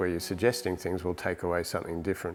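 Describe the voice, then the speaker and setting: With an Australian accent, a man talks in a very deep, low pitch. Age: 60s. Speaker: painter and digital artist. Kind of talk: interview monologue about his art. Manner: halting, repeats words.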